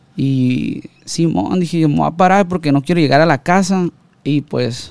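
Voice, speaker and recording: Delivered at a fairly slow pace, an ordinary speaking voice shows ordinary pitch variation. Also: man. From Sinaloa, Mexico (Ruiz Cortines, Los Mochis area). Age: 30s. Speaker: music producer. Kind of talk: casual chat. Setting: studio.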